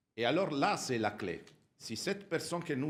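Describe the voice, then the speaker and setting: The speaker is a man with an Italian accent. He keeps a moderate pace. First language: Italian (speaking French). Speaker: audience member at Rotary conference. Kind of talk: audience question. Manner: halting.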